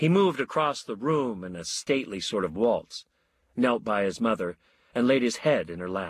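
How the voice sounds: The background stays quiet. A natural reading voice carries lively intonation.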